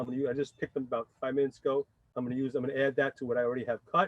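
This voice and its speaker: Recorded with a dry, close sound and no echo, a man in a New York accent speaks at a medium pitch. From New York City (Bronx). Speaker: chef. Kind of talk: cooking demonstration. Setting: outdoors. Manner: fast.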